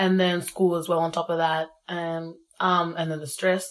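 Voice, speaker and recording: At a moderate pace, a woman talks with a fairly low pitch and monotone, flat intonation. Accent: Australian. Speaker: young South Sudanese Australian. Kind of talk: casual interview. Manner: casual, relaxed.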